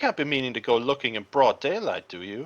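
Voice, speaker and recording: Someone in a put-on character voice rattles along at a very fast pace with a low-to-middle pitch against a quiet background. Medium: read story. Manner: anxious, whiny.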